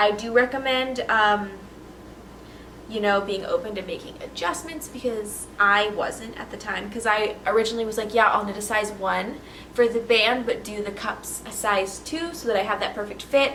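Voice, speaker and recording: With noticeable background noise and audible room echo, a woman speaks at a moderate pace in a fairly high pitch with ordinary pitch variation. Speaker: knitting podcaster. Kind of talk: casual chat.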